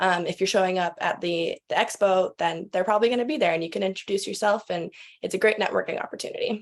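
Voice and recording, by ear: Speaking at a fast pace, a woman keeps a fairly even intonation. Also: medium pitch for a woman.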